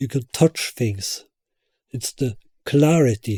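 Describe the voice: At a slow pace, a man with a medium pitch speaks in a dark, mellow tone with a slightly husky edge and ordinary pitch variation.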